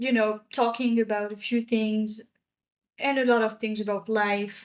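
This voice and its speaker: A woman speaks fairly slowly with a French accent. Her fairly high voice stays monotone and flat. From France. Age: 20s. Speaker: podcast co-host. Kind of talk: casual chat.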